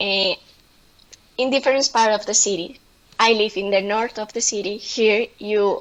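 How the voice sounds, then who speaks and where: A woman of medium pitch at a fairly slow pace. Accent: Spanish. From Colombia. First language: Spanish. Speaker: presenter. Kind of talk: online presentation. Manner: halting, many fillers.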